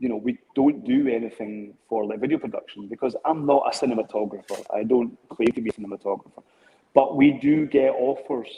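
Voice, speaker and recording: Pitch rises and falls in an ordinary way. The delivery holds a moderate pace. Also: man. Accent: Scottish. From Scotland. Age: 50s. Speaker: drone business owner. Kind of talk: interview. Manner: halting.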